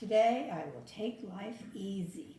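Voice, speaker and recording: Someone performs a put-on character voice at a fairly slow pace. There is slight echo. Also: woman. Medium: read story. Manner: grumbling, put-upon.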